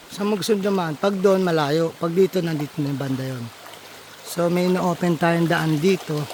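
A man speaks at a moderate pace with a high pitch and fairly even intonation. Noticeable background noise runs behind him. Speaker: vlogger, small farmer. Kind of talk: casual vlog walkthrough. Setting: outdoors on a farm.

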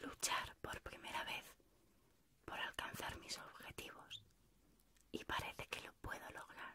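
A woman at a fairly slow pace, dry sound with no echo, over loud background noise. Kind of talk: personal reflective monologue, letter-like. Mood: intimate, reflective, warm. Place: home room.

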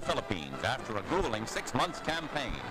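The speaker moves along at a fairly quick pace while clear music runs underneath. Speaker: newsreel narrator. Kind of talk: newsreel narration. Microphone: old recording.

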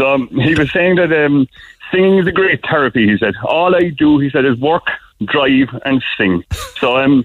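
A man with a Cork accent talks at a fairly high pitch with lively intonation over noticeable background noise. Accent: Cork Irish. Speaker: small business owner calling a radio show. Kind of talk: casual chat. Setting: phone call.

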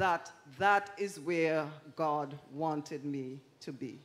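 Lively intonation from a woman. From Antigua, Bethesda village; Antigua. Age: old. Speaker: retired schoolteacher. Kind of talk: church interview testimony. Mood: warm, smiling, earnest. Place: stage. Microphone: handheld.

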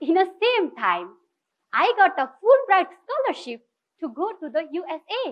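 Against a quiet background, a woman with a Nepali accent speaks at a fairly slow pace and an extremely high pitch. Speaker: social entrepreneur; speaker. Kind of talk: inspirational talk. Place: stage.

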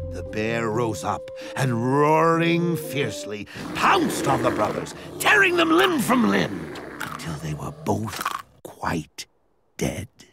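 A raspy, put-on character voice at a fairly slow pace, with music in the background. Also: man, medium pitch for a man. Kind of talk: animated fable narration, comic ornate. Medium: cartoon. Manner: arch, mock-courteous, sardonic.

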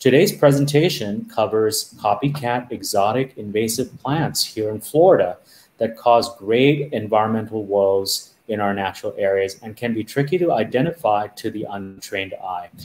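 This man's intonation is lively. He keeps a moderate pace. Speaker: host of a plant society chapter webinar. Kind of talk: presentation introduction.

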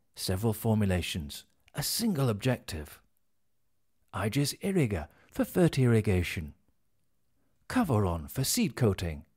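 A somewhat breathy man with a British accent, very wide pitch swings and a fairly slow pace, against a quiet background. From England. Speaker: voice actor. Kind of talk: corporate narration. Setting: studio. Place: studio. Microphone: studio mic.

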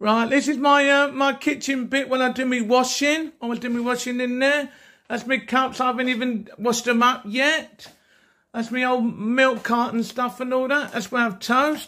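A man speaks at a moderate pace in a raised, projected voice with monotone, flat intonation. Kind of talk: casual home tour narration. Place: home room. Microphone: phone near.

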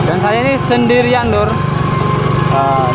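With music in the background, a man talks at a fairly quick pace, the sound dry with no echo. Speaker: rural village vlogger. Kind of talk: casual vlog commentary. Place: motorbike. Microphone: phone near.

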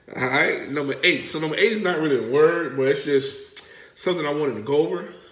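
The man's voice sits fairly high. Audible room echo surrounds it. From South Carolina Lowcountry. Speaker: vlogger explaining local dialect. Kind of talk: casual talk to camera. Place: home room. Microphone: phone near.

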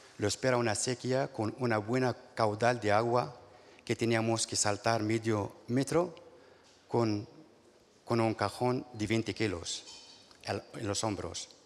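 The man's pace is very slow. Long pauses come often. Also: ordinary pitch variation. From Morocco. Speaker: farm worker and union delegate. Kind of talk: panel testimony; testimony at a panel. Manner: halting, stumbling. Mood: hesitant, earnest. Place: stage. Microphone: handheld.

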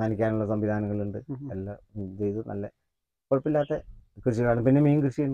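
A man's loudness swings widely while his pitch varies in an ordinary way, in a dry sound with no echo and a quiet background. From Wayanad, Kerala, India; Kerala, India. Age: 50s. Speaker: archery coach and state referee; archery coach. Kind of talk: casual interview. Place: garden.

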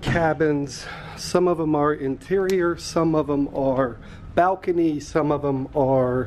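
The voice comes at a fairly slow pace over light background noise. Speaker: cruise vlogger. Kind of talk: walking tour commentary. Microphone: phone near.

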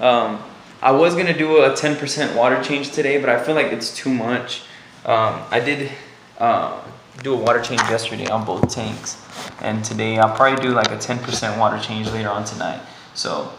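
A man speaks with ordinary pitch variation. Noticeable background noise runs beneath him. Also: moderate pace. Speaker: fish hobbyist vlogger. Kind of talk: casual vlog chat. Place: home room. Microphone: phone near.

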